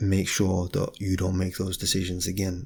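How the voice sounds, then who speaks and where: A man talks softly at a very deep, low pitch, his voice somewhat breathy. The recording is very clean, with a silent background. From Britain. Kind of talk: ASMR talking, philosophical reflection. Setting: home, window open, some outside noise. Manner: soft-spoken, quiet.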